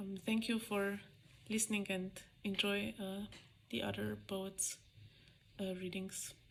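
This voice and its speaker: A woman with a Slovene accent at a medium pitch, very slow, with long, frequent pauses and a monotone, flat intonation. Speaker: poet. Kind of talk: poetry reading.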